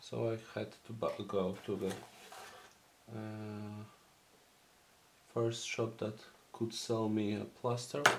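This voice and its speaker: A man with a Polish accent speaks very slowly at a fairly low pitch, his intonation fairly even. Long, frequent pauses and audible room echo mark the recording. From Poland. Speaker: miniature painting hobbyist. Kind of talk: tutorial. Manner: halting.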